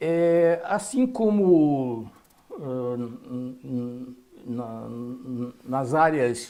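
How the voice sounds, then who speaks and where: A man speaks at a very slow pace in a medium pitch, with ordinary pitch variation and big swings in loudness. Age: 60s. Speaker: biologist and health speaker. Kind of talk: interview.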